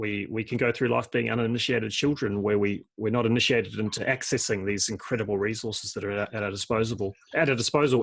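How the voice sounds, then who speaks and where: With an Australian accent, a man at a medium pitch talks at a very fast pace with hardly any pauses. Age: 40s. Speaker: permaculture designer and podcast host. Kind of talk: casual interview conversation. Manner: halting, many repetitions and fillers.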